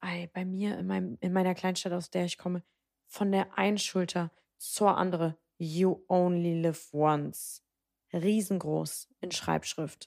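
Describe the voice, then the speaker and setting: A woman's animated, fairly low voice at a fairly slow pace, dry and close with no echo. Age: 20s. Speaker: podcast co-host. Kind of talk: casual chat.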